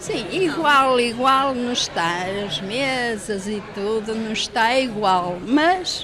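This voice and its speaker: Music plays in the background as a woman with a fairly high pitch speaks very slowly but with hardly any pauses, her intonation lively amid audible room echo. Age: 70s. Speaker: café customer. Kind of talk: vox pop interview.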